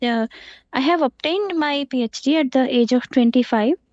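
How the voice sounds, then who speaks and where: A woman's high voice in an Indian accent, with ordinary pitch variation and a moderate pace. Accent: Indian English, Telugu. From India, Andhra Pradesh. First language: Telugu. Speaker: professor. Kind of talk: interview. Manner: halting.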